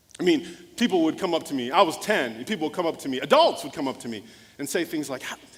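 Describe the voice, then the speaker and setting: A man's fairly high, lively voice at a very fast pace, with big swings in loudness over noticeable background noise. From US small town, Nigerian immigrant parents. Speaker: motivational speaker and former pastor. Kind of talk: keynote speech with storytelling.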